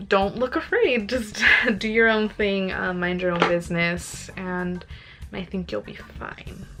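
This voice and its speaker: With music in the background, a woman speaks fairly slowly at a medium pitch, showing ordinary pitch variation and big swings in loudness. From United States, Mexican-American family. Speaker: travel vlogger. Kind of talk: casual vlog monologue. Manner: hesitant, many fillers.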